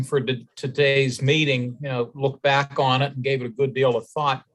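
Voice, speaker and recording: Here a man speaks in a fairly high voice. His intonation stays fairly even. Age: 60s. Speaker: election advisory board member. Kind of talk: public meeting discussion. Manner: halting.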